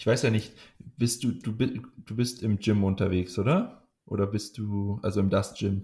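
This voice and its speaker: On a very clean recording with a silent background, a man speaks at a fairly slow pace in a somewhat breathy voice with a fairly low pitch and fairly even intonation. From Munich, Bavaria. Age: 20s. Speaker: powerlifting coach and athlete. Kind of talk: casual interview chat. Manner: hesitant, many filler sounds.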